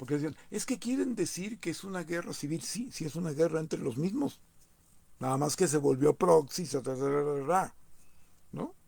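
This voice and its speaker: Lively intonation marks this man's fairly high-pitched voice, which has a dark, mellow tone. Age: 60s. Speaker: political commentator. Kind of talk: monologue commentary. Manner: halting, many repetitions.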